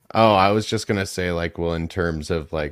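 Captured in a very clean recording with a silent background and a dry, close sound with no echo, a man with vocal fry speaks at a moderate pace with fairly even intonation. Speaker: reptile breeder podcast co-host. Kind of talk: casual chat.

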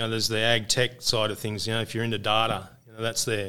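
A bright, sharp voice with an Australian accent at a very fast pace, in a very clean recording with a silent background. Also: man. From Australia, northern New South Wales. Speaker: organic farming business manager. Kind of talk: casual interview. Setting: conference venue.

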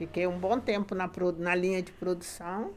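This woman has a medium pitch and talks at a fairly slow pace. Music plays in the background. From Rio de Janeiro, Brazil (Guadalupe). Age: 70s. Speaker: retired factory worker. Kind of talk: casual interview.

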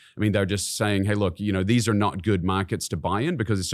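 A man with a New Zealand accent at a fairly low pitch, in a very clean recording over a silent background. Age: 40s. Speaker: CEO of a real estate investment company. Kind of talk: casual interview chat. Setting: studio.

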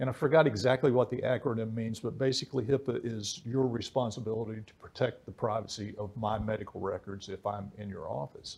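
At a fairly quick pace with hardly any pauses, a man with an American accent speaks in a somewhat breathy, medium-pitched voice. His pitch varies in an ordinary way while his loudness swings widely. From West Virginia. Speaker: podcast host, leadership coach. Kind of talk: interview.

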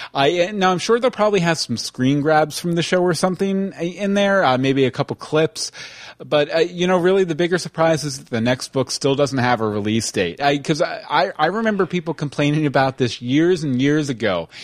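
A man with an American accent talks at a fairly quick pace with hardly any pauses, using a normal speaking voice that sits fairly high in pitch and has lively intonation. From Texas. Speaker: podcast host. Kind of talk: casual chat. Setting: live online stream.

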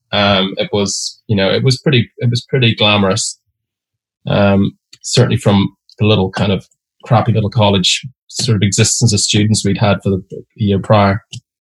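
A somewhat breathy man with fairly low pitch talks at a moderate pace with fairly even intonation, in a dry, close recording with no echo. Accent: Derry. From Northern Ireland, Derry. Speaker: advertising creative director. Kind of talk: casual interview.

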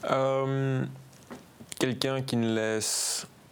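Very slowly, a man speaks with ordinary pitch variation amid audible room echo and noticeable background noise. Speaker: professional footballer. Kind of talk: interview.

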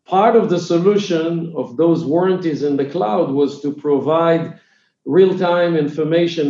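A man speaks with an Israeli accent at a moderate pace. His tone is dark and mellow. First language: Hebrew. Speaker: tech company founder and CEO. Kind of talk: interview. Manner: halting, many filler sounds.

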